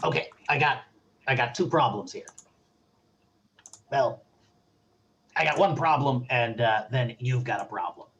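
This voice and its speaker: Using a raspy, put-on character voice, a man speaks at a moderate pace and medium pitch with ordinary pitch variation and long, frequent pauses. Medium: actual play. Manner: casual, hedging.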